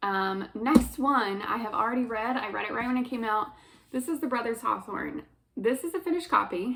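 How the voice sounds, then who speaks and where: Her pitch varying in an ordinary way, a woman speaks at a fairly quick pace. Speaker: book youtuber. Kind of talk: casual chat. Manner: fast.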